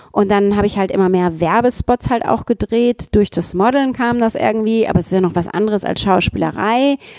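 Noticeable background noise sits behind a woman with a medium pitch. She talks at a fairly quick pace with very even loudness and hardly any pauses. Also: ordinary pitch variation, dry, close sound with no echo. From Ruhrgebiet, Germany. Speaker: actress and founder. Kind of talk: casual interview.

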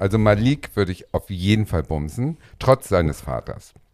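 A man with a fairly low pitch has an unremarkable speaking voice. He talks at a fairly quick pace with lively intonation. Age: 40s. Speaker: podcast co-host. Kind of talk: casual chat. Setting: dressing room full of costumes.

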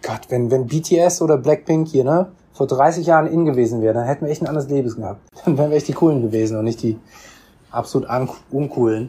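Pitched at a medium level, a man speaks at a fairly quick pace. His tone is dark and mellow and somewhat breathy. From Germany, Bonn. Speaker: second-generation Korean German interviewee. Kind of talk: interview. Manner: hesitant, many fillers.

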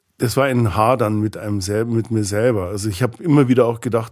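His is a plain, everyday voice, pitched medium with ordinary pitch variation. The man keeps a fairly quick pace. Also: very clean recording, silent background. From Bavaria, Ingolstadt. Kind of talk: interview conversation.

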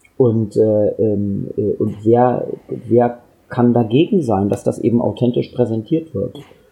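Very slow in pace, a man talks at a medium pitch with ordinary pitch variation. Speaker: TV journalist. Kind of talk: casual chat. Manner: mumbling.

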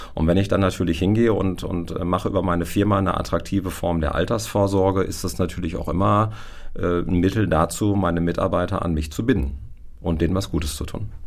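Over noticeable background noise and audible room echo, a man with a very deep, low pitch speaks at a very fast pace. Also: ordinary pitch variation. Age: 40s. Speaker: insurance advisor. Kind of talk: expert interview.

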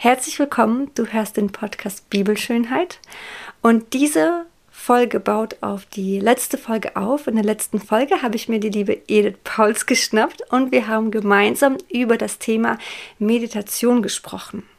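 A woman speaks fairly slowly in an unremarkable speaking voice, fairly high in pitch with ordinary pitch variation. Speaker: podcast host. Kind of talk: podcast intro.

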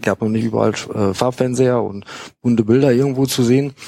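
This man's voice sits at a medium pitch. His intonation stays fairly even. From Münster, Westphalia. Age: 40s. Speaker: football fanzine writer. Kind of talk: casual chat. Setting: studio.

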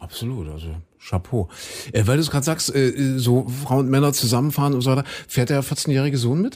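Using an ordinary speaking voice, a man talks at a fairly quick pace with medium pitch and ordinary pitch variation. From Saxony. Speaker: podcast host. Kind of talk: casual interview. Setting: studio.

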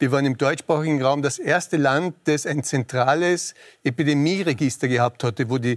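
A man with a fairly high pitch is heard in a very clean recording with a silent background and a dry, close sound with no echo. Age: 60s. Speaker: infectious disease specialist. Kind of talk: TV panel debate.

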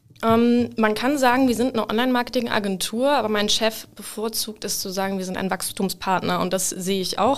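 A woman uses an ordinary speaking voice with a fairly high pitch. She talks at a fairly quick pace with hardly any pauses. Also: fairly even intonation. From northern Germany, Hamburg. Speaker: social media marketing lead. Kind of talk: casual interview. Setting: studio.

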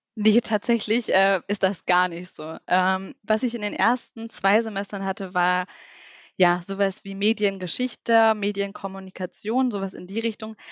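A woman uses an ordinary speaking voice at a medium pitch and a fairly slow pace, with fairly even intonation, in a very clean recording with a silent background and a dry, close sound with no echo. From Lower Saxony, Germany (near Duderstadt). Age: 20s. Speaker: social media manager. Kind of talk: interview.

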